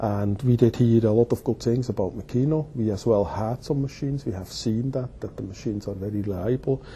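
Light background noise runs behind a man who speaks at a fairly quick pace with hardly any pauses. His voice is somewhat breathy, with ordinary pitch variation. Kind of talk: interview answer. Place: office. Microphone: lapel.

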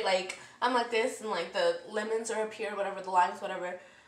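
A woman at a very fast pace, animated in tone, with audible room echo. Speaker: vlogger. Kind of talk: casual storytime vlog rant. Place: kitchen. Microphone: phone near.

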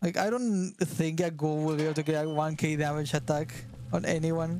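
With a Spanish accent, a man talks in a fairly high pitch with fairly even intonation. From Argentina. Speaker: gaming streamer. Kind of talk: casual chat. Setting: live stream collab.

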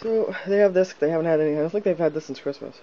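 A man speaks over noticeable background noise. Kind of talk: casual talk to camera.

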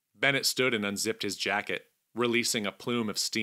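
Plain reading aloud in fairly even intonation against a quiet background

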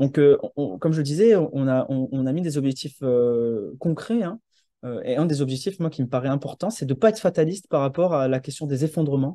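Over a quiet background, a man with a dark, mellow tone and fairly high pitch talks at a fairly quick pace with ordinary pitch variation and a dry sound with no echo. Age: 30s. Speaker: landscape architect and urban planner; presenter. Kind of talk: presentation. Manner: halting, many hesitations. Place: home room. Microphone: video call.

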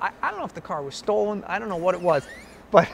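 Animated and very fast, a man speaks with a Boston accent and ordinary pitch variation over light background noise. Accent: Boston-area New England. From central Massachusetts (Shrewsbury, near Worcester); Massachusetts. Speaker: film producer; interviewee. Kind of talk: interview. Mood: animated storytelling, amused. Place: hall. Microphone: lapel.

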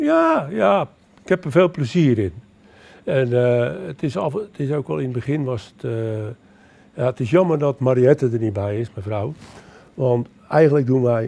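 Delivered at a fairly slow pace with long, frequent pauses, the voice has a dark, mellow tone and lively intonation. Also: man, medium pitch for a man. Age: 70s. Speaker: retired amateur nature filmmaker. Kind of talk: interview. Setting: public library event. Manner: halting. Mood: cheerful, relaxed. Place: hall. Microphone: handheld.

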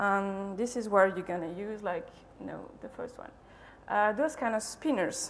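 A woman speaks with ordinary pitch variation at a moderate pace, light background noise behind her. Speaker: conference speaker. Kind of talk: lecture. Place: hall.

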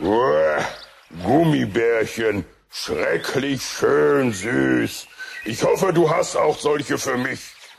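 A man puts on a character voice at a medium pitch. He talks at a very slow pace. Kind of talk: radio play for children.

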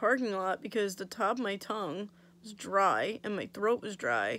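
Vocal fry marks a woman's voice, which has ordinary pitch variation. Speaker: vlogger. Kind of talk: casual vlog chat. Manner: drowsy, slightly slurred post-surgery speech. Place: home room. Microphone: phone near.

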